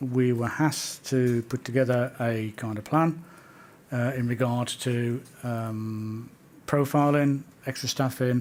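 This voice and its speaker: Soft-spoken and very slow, a man talks at a medium pitch with fairly even intonation. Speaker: witness at a public inquiry. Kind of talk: inquiry testimony. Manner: halting.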